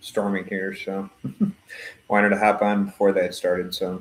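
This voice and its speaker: A man with an American accent, fairly low in pitch, at a moderate pace with monotone, flat intonation. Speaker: streamer answering viewer questions. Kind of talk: casual live-stream Q&A. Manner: casual, hesitant with fillers.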